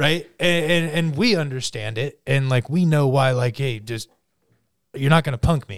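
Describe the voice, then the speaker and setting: This man talks at a moderate pace. His pitch sits fairly high. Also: ordinary pitch variation. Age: 30s. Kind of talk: casual chat. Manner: animated.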